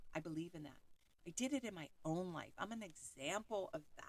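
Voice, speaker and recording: A loud woman at a moderate pace, with very wide pitch swings. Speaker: podcast host and self-help author. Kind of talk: motivational monologue with affirmations. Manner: boisterous.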